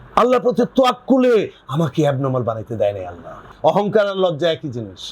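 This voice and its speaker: Over noticeable background noise, a man speaks in a high pitch with very wide pitch swings. His loudness swings a lot. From Bangladesh. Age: 70s. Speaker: researcher, writer and collector. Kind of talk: interview answer.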